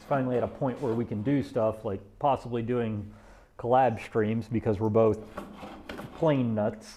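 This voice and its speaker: With fairly even intonation and a moderate pace, a man talks as noticeable noise carries on behind him. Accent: Deep South. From US South. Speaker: woodworker streamer. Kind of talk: casual livestream chat while working. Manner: slurred, runs words together.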